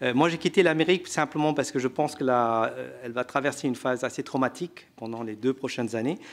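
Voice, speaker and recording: On a very clean recording with a silent background, a man speaks at medium pitch. He goes at a very fast pace with hardly any pauses and ordinary pitch variation. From India. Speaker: economist, researcher and author. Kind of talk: panel discussion answer. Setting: conference room with audience.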